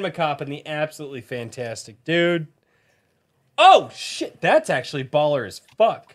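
Speaking at a fairly slow pace, a man with an American accent uses lively intonation, an animated tone and a fairly high pitch in a quiet background. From US West (Colorado). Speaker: podcast host. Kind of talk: casual chat. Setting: video call. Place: home room. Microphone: studio mic.

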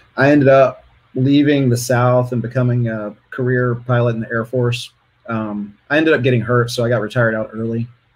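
Monotone, flat intonation from a man at a fairly quick pace. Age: 40s. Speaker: interview guest sharing dating experiences. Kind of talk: casual interview. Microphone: video call.

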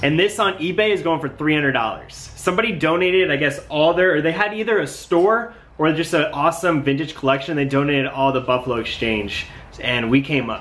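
Here a man speaks at a fairly quick pace. His intonation is lively. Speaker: vintage clothing reseller vlogger. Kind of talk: casual vlog chat. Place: home room. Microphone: phone near.

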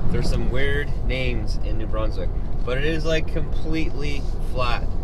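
Moderate pace, a dry sound with no echo, and loud background noise. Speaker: driver vlogger. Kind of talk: casual vlog chat. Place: car. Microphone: camera far.

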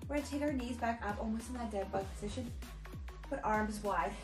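A woman speaking at a fairly quick pace over clear music in the background. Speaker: fitness instructor. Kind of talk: workout instruction. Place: home room.

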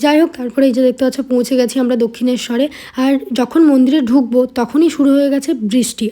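Over noticeable background noise, a woman speaks in a high pitch with fairly even intonation. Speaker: vlogger. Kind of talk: travel vlog narration. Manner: chatty, conversational.

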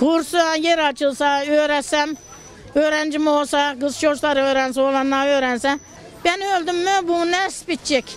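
Against crowd noise in the background, a woman with a high pitch speaks fairly slowly, her loudness very even and intonation fairly even, in a dry sound with no echo. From Turkey, Denizli (Teke region, Yörük); Denizli, Turkey. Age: 70s. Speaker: folk musician. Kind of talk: interview. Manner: casual. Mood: earnest, wistful about her craft. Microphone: handheld.

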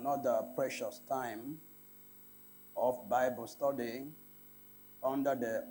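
Music plays in the background as a man talks at a fairly slow pace. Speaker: pastor leading a Bible study. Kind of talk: sermon. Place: studio. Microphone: lapel.

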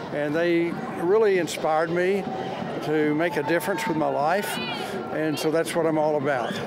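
Loud background noise surrounds a man talking at a moderate pace. The sound is dry, without echo. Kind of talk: interview answer. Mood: warm, grateful, emotional. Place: street. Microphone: handheld.

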